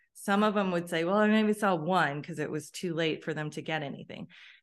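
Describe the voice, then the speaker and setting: Here is a normal speaking voice with ordinary pitch variation. The background is quiet. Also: woman. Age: 50s. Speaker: wellness educator. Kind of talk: interview.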